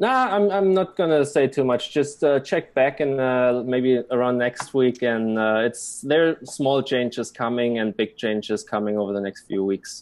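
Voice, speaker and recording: With a German accent, a man talks in a medium pitch, using lively intonation and hardly any pauses. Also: moderate pace. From Germany. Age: 20s. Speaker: blockchain website developer. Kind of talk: interview. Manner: halting.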